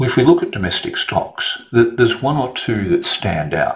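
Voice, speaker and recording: Moderate pace from a man with an Australian accent. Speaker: trader and market analyst. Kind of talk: market commentary monologue.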